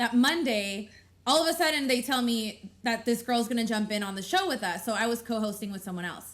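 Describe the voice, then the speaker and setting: A woman speaks loudly in a high pitch with a bright, sharp tone. Her pace is fairly quick. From Mexican heritage. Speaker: podcast co-host and radio host. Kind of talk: casual chat.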